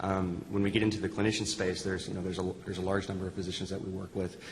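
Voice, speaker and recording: A man's very deep, low voice, flat and monotone, at a very fast pace. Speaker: health system IT executive. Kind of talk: panel discussion.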